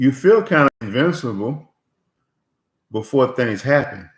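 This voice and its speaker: A man's fairly high, somewhat breathy voice at a very slow pace with very wide pitch swings. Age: 60s. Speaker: motivational vlogger and inventor. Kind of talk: casual vlog monologue. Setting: home office. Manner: halting, many fillers.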